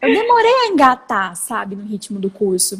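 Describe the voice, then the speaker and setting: Noticeable background noise behind a female voice. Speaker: lawyer and startup founder. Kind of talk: interview. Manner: fast.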